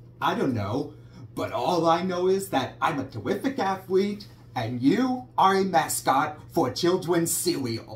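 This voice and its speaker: A man's cartoonish character voice, high in pitch, at a fairly slow pace over light background noise. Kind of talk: cartoon impression. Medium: puppet show. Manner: dopey, cheerful, boastful.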